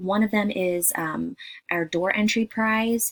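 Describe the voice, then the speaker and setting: A woman speaks quietly at a fairly slow pace. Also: dry, close sound with no echo. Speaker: direct sales party consultant. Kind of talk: casual welcome video. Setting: at a daycare during nap time. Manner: quiet, hushed.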